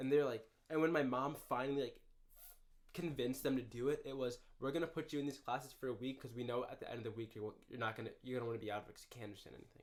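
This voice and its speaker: A man with an American accent talks at a very fast pace. His intonation stays fairly even while his loudness swings widely. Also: medium pitch for a man. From Minneapolis, Minnesota. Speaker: university student and runner. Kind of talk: casual chat. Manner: slurred speech.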